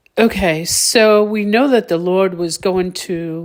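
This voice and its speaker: A woman's voice with ordinary pitch variation on a very clean recording with a silent background. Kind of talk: religious exhortation to viewers. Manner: halting, with fillers.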